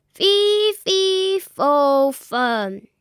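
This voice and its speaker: In a put-on character voice, someone bellows at an extremely high, squeaky pitch. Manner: bellowing.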